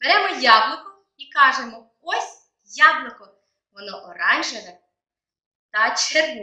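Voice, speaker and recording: A woman with a high pitch speaks in an animated tone, her voice raised and projected, swinging very widely in pitch amid audible room echo. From Ukraine. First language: Ukrainian. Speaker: English teacher. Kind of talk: language lesson.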